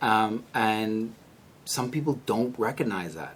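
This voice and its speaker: A man with a Bahamian accent talks at a moderate pace with ordinary pitch variation. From Bahamas. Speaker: conservation scientist and policy analyst. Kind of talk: podcast interview.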